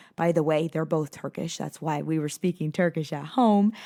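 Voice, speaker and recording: Speaking at a fairly quick pace with a General American accent, a woman uses a fairly low pitch and ordinary pitch variation, recorded dry and close with no echo and very clean against a silent background. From South Florida. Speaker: podcast host, life coach. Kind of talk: casual monologue podcast. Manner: animated.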